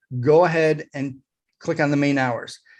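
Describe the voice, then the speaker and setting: This man has an unremarkable speaking voice at a moderate pace with ordinary pitch variation. The background is quiet. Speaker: digital marketing consultant. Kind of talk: tutorial with screen share.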